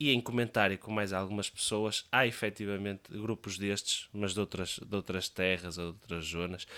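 A man's bright, sharp tone comes through a very clean recording with a silent background. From Portugal, Leça da Palmeira (Matosinhos, north). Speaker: podcast co-host. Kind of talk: casual chat.

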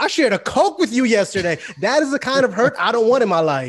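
Against a quiet background, a man speaks at a fairly quick pace with very wide pitch swings. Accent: New York. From Brooklyn, New York, West Indian family. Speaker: podcast co-host. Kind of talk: casual chat.

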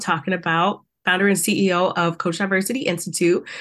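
A woman of medium pitch with an American accent, against a quiet background. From US South, South Carolina. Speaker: empowerment coach. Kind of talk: interview. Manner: animated.

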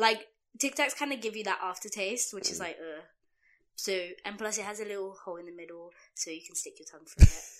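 Talking at a very fast pace, a woman with a medium pitch shows ordinary pitch variation and big swings in loudness. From London. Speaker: podcast co-host. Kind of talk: casual chat.

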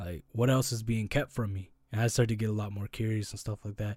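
Recorded very cleanly against a silent background, a plain, everyday voice moves at a fairly quick pace with fairly even intonation. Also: man. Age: 20s. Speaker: podcast host. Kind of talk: casual chat.

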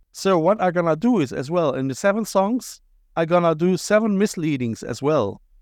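Against a quiet background, a man with a German accent speaks in a high pitch at a moderate pace. His intonation is lively. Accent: German-accented English with Cologne tinge. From Germany, Cologne. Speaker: podcast host and visual artist. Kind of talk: casual interview chat. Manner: animated, repetitive stammering.

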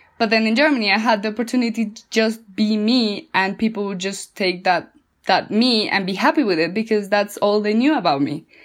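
With a Spanish accent, a woman speaks at a fairly high pitch with hardly any pauses. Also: ordinary pitch variation, fairly quick pace. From Colombia. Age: 20s. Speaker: yoga instructor. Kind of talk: interview.

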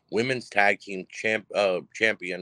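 The pitch varies in an ordinary way, and the sound is dry and close with no echo. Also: man. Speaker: wrestling podcast host. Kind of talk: show recap. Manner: fast.

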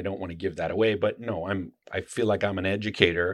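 Against a quiet background, a man with an unremarkable speaking voice talks at a fairly quick pace in a fairly low pitch. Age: 50s. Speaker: knife maker and YouTuber. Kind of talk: casual chat.

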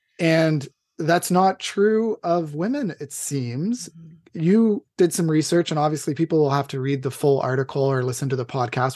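A man with an ordinary speaking voice talks at a moderate pace and a fairly high pitch, with ordinary pitch variation and a quiet background. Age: 30s. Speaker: podcast host. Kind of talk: casual interview.

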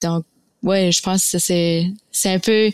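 In an ordinary speaking voice, a woman talks at a medium pitch and a moderate pace with fairly even intonation, on a very clean recording with a silent background and a dry, close sound with no echo. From Fredericton, New Brunswick, Canada (Acadian family from Nova Scotia). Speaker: graduate student and community volunteer. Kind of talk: casual interview conversation.

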